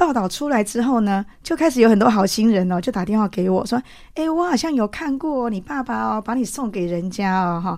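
A woman with a plain, everyday voice speaks in a fairly high pitch with lively intonation and hardly any pauses, over a quiet background. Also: fairly quick pace. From Taiwan, Changhua County. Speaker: interviewee sharing faith testimony. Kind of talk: testimony.

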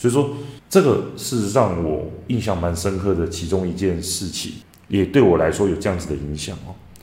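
A man's very deep, low voice at a moderate pace, with ordinary pitch variation and audible room echo. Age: 30s. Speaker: parenting coach and podcast host. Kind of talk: monologue book review.

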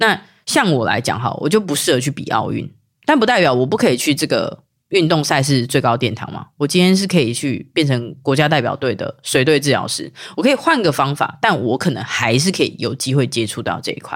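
A woman speaks with a very deep, low pitch and very wide pitch swings. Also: fairly quick pace. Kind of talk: casual chat.

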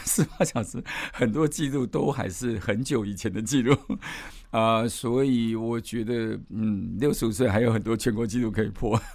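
An ordinary speaking voice, fairly even in intonation and moderate in tempo. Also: man. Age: 60s. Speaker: management professor and amateur ultramarathon runner. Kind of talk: casual interview.

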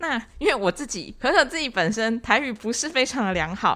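On a very clean recording with a silent background, a woman with an unremarkable speaking voice talks at a fairly quick pace with lively intonation. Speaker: podcast host for animal welfare association. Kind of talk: casual chat.

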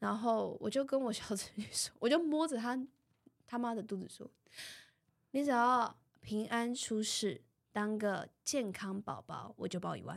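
A woman with a Taiwanese accent speaks at a fairly high pitch and a fairly slow pace, with ordinary pitch variation and big swings in loudness. The recording is very clean, with a silent background. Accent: Taiwanese Mandarin. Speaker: podcast co-host. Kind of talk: casual chat.

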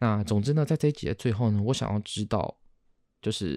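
A man with a Taiwanese accent talks at a very fast pace, fairly low in pitch, with vocal fry and a dark, mellow tone. The sound is dry and close, with no echo. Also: very clean recording, silent background. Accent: Taiwanese Mandarin. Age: 30s. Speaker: podcast host. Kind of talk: casual solo monologue.

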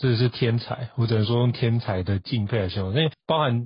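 At a moderate pace, a man speaks at medium pitch with ordinary pitch variation and a somewhat breathy voice. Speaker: podcast host. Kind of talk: interview.

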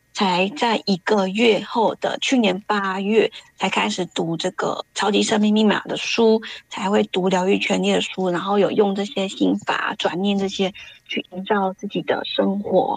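A woman with an unremarkable speaking voice talks at a medium pitch and a fairly slow pace, her intonation fairly even and the sound dry and close with no echo. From Taiwan. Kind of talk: testimony.

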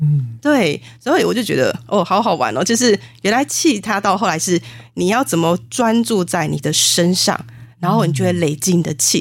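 A woman speaks with fairly low pitch, vocal fry, and very wide pitch swings. Her loudness stays very even throughout. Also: moderate pace. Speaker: spiritual medium and author. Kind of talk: interview.

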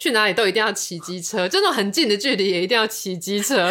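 Over noticeable background noise, a woman talks at a very fast pace in a medium-pitched voice. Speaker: podcast co-host. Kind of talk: casual chat.

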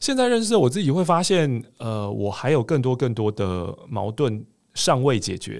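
In a very clean recording with a silent background, a man of medium pitch talks at a fairly slow pace with very wide pitch swings. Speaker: voice coach and podcast host. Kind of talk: casual interview chat.

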